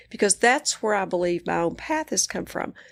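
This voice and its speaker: Over a silent background in a very clean recording, a woman speaks at a moderate pace with a West Texas accent and lively intonation. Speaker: psychiatrist and coach. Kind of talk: interview conversation.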